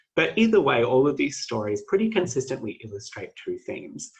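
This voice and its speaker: Somewhat breathy, a man with an Australian accent talks at a fairly quick pace. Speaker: PhD student presenter. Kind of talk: academic presentation.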